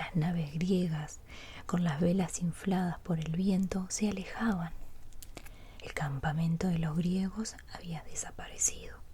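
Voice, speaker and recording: A soft-spoken woman talks at a fairly slow pace. Her pitch is fairly low. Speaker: ASMR artist. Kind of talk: sleep story reading.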